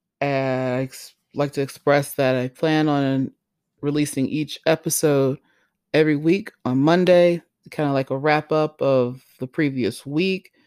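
A fairly slow voice with an American accent on a very clean recording with a silent background. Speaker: podcast host. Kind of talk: podcast intro monologue. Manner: casual.

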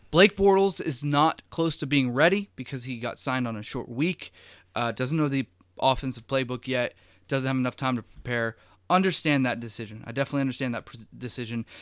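With a plain, everyday voice, a man of medium pitch speaks at a fairly quick pace with ordinary pitch variation, recorded very cleanly against a silent background. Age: 20s. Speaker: sports podcast host. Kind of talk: casual chat.

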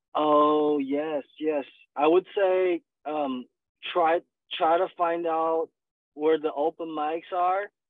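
Speaking very slowly with long, frequent pauses, a man with a Chinese accent uses a fairly high pitch and monotone, flat intonation. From China. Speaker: stand-up comedian. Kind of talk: interview. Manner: halting, many fillers.

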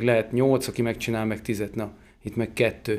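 Flat and monotone, a man's voice holds a medium pitch. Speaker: regenerative farmer and miller-baker. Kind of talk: podcast interview conversation.

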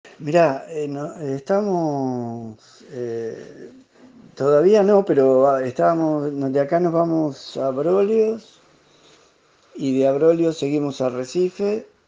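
Speaking very slowly with an Argentine accent, a man has a fairly high pitch, ordinary pitch variation, and a dark, mellow tone. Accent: Rioplatense Argentine Spanish. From Argentina, La Plata. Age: 60s. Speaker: sailor living aboard a historic schooner. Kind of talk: casual interview. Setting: remote call from a boat.

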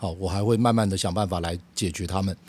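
On a very clean recording and a silent background, a man at a moderate pace. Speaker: podcast host on bass and music. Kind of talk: solo podcast monologue.

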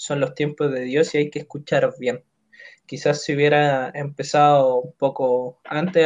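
Recorded in a dry, close sound with no echo, a man with a Chilean accent and a fairly high pitch speaks at a fairly slow pace. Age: 20s. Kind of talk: casual chat.

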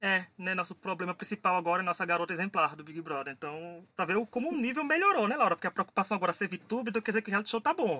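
A man's high-pitched voice at a very fast pace, with hardly any pauses. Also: lively intonation. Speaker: podcast host. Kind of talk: casual chat.

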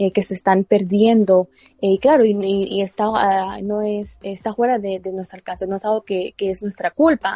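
A woman at medium pitch speaks at a moderate pace in a dark, mellow tone with fairly even intonation. The sound is dry and close with no echo, and her loudness swings widely. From Mexico. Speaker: school paraeducator. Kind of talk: interview. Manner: hesitant.

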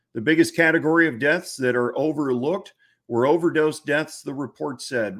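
Heard on a very clean recording with a silent background, a man speaks in an animated tone at a fairly high pitch with ordinary pitch variation. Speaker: podcast host. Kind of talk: casual talk show monologue with a passionate, fired-up tone; news reading, reading an article aloud. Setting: video podcast, home studio. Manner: fired up, animated.

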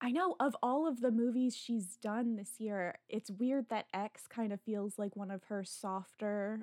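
At a fairly slow pace, a woman with an ordinary speaking voice talks at a fairly high pitch with ordinary pitch variation. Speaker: magazine editor, podcast host. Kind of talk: casual interview chat.

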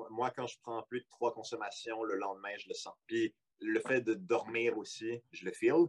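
A man with a Quebec accent at a moderate pace, in a dry, close sound with no echo. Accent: Québécois French. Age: 20s. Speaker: podcast guest. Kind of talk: casual chat.

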